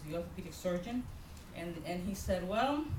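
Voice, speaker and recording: A woman's lively intonation against noticeable background noise and audible room echo. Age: 50s. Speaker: pastor. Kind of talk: sermon. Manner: animated.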